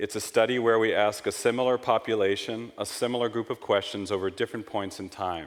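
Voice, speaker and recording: A man speaks with a New York accent at a medium pitch. His pace is fairly quick and his intonation fairly even. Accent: American (New York). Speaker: market researcher / conference speaker. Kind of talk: conference presentation. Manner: fast.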